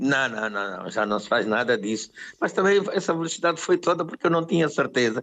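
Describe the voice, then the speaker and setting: A man's fairly high voice with very wide pitch swings at a fairly quick pace. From Angola. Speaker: musician. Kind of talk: interview answer.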